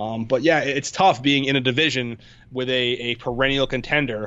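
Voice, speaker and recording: A man's medium-pitched voice in an American accent, with ordinary pitch variation. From Connecticut shoreline, US. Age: 30s. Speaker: sports blogger. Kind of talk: casual chat.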